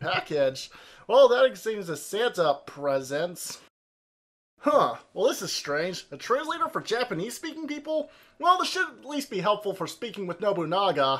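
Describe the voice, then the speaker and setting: Big swings in loudness and very wide pitch swings run through a man's high-pitched voice. He keeps a moderate pace. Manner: exasperated.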